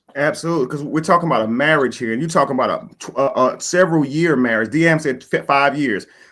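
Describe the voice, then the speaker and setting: The recording is very clean, with a silent background. A man with a fairly high pitch talks at a very fast pace in an animated tone. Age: 40s. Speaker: live stream host. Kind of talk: live panel discussion. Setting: live stream.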